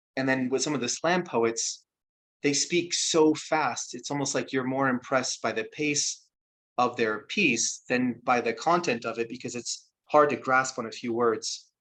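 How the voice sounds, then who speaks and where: This man has a normal speaking voice, talking at medium pitch and a moderate pace against a quiet background. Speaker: spoken word artist. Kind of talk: talk to an audience about his craft.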